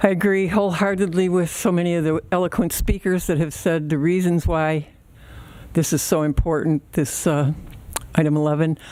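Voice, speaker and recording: Fairly low in pitch, a woman with a Midwestern US accent speaks with fairly even intonation. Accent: US Midwest. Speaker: public commenter. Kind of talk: public comment at board meeting. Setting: village board meeting at podium.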